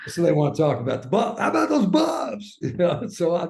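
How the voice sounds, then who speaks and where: An American accent carries speech delivered very fast. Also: man. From US Midwest, suburban Kansas City Missouri. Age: 60s. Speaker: former sports broadcaster. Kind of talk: interview conversation. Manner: halting.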